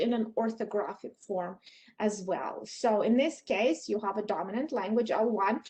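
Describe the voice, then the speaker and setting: The speech comes at a moderate pace with a Russian accent. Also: woman. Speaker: professor. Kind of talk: lecture. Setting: video call.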